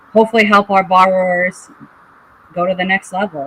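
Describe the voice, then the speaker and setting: A woman with a Boston accent, fairly low in pitch, at a fairly slow pace, over noticeable background noise. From New England, Boston area. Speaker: licensed contractor and house flipper. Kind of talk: podcast interview.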